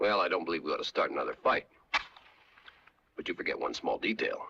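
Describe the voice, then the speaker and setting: This man does a put-on character voice that is raspy and extremely high-pitched. He talks at a very fast pace. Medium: short film. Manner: measured, dry, calm.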